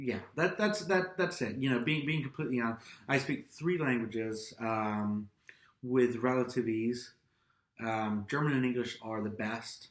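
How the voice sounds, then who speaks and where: A man talks at a moderate pace in a plain, everyday voice. His pitch is medium and his intonation lively. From Austria (American-born, raised in Europe). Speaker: YouTube vlogger. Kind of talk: casual chat.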